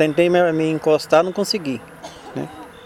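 A man with a fairly high-pitched voice speaks over noticeable background noise. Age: 50s. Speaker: street car watcher, former bricklayer. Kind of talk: interview testimony.

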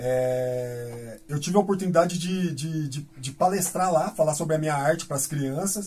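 Over noticeable background noise, a man with a fairly high voice speaks at a moderate pace with hardly any pauses and ordinary pitch movement. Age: 40s. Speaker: graffiti artist. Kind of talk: casual interview. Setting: radio studio.

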